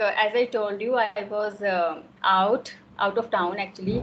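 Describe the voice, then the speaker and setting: Fairly slow speech in a Himachal Pradesh accent carries ordinary pitch variation. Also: woman. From India, Himachal Pradesh. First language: Himachali. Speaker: homemaker. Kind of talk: casual conversation.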